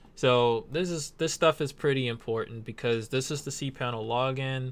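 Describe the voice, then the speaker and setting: A man talks at a fairly slow pace in a plain, everyday voice. His pitch is medium with ordinary variation, on a very clean recording with a silent background. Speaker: web hosting tutorial maker. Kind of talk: screen-recorded tutorial. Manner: casual.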